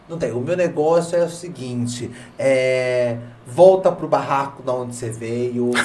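A man speaks at a fairly slow pace with ordinary pitch variation. Audible room echo and noticeable background noise surround him. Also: medium pitch for a man. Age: 30s. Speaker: podcast host. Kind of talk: casual chat. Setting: studio.

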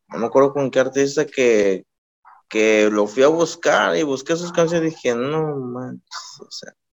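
At a fairly slow pace, a man talks in an unremarkable speaking voice. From Mexico, Colima. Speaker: rapper. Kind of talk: casual interview.

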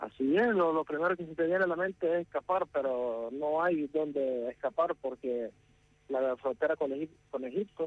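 This man has an ordinary speaking voice, fairly high in pitch. He talks at a moderate pace with ordinary pitch variation. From Syria, then ten years in Nicaragua. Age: 20s. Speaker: civilian interviewed from a war zone. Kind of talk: interview. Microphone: poor connection, line dropped.

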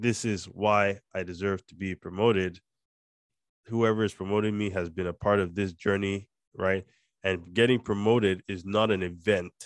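Recorded with a dry, close sound with no echo, a man with a Nigerian accent speaks at a moderate pace and fairly low pitch in a monotone, flat intonation. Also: quiet background. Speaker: podcast host and company co-founder. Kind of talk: casual chat. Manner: code-switching, more Nigerian when talking with Josh.

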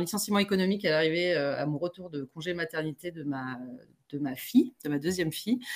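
Speaking in a plain, everyday voice, a woman with a fairly low pitch keeps a moderate pace and ordinary pitch variation. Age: 40s. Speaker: entrepreneur. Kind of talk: casual interview.

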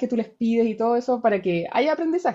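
Her dark, mellow tone and fairly high pitch carry ordinary pitch variation as the woman talks at a moderate pace. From Chile, Rancagua. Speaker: researcher and university lecturer. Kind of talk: casual interview.

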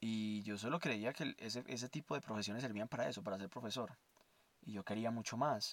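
A man's medium-pitched voice at a fairly quick pace, with ordinary pitch variation and a dry, close sound with no echo. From Colombia, Armenia (Quindío). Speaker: podcast host, science student. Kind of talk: personal monologue. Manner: halting.

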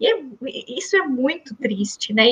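At a moderate pace, a woman with a high pitch talks in very wide pitch swings. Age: 30s. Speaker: medical doctor. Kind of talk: interview.

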